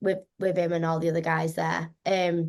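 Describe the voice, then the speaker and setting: Talking at a moderate pace, a woman with a slight Scouse accent has a fairly low pitch. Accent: slight Scouse twang. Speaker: actress. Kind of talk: interview. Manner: animated.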